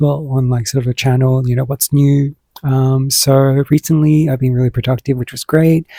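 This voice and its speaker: In an Australian accent, the speech runs at a fairly quick pace with hardly any pauses. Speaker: podcast host discussing addiction recovery. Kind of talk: casual personal vlog talk. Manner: hesitant, many fillers.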